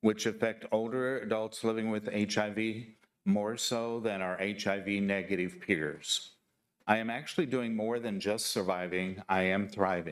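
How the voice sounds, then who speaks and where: This is a man with a plain, everyday voice. His pitch sits fairly low with ordinary variation, at a moderate pace. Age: 60s. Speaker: public commenter. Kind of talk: public testimony. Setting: county board meeting, hybrid in-person and online.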